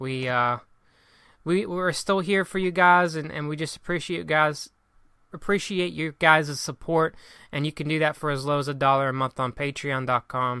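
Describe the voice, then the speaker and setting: With a bright, sharp tone and fairly high pitch, a man talks at a moderate pace with ordinary pitch variation. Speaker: podcast host. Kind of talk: casual chat. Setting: remote recording at home. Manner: stutters, halting.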